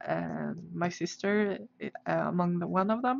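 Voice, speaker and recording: Speaking very slowly, a woman uses a medium pitch. She has a Swedish accent. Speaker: artist livestreamer. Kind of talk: casual livestream chat. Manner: halting, many fillers.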